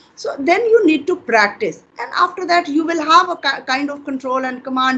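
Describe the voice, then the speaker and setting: A woman with an Indian accent talks at a fairly quick pace over noticeable background noise. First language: Hindi. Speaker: English teacher. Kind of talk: interview conversation.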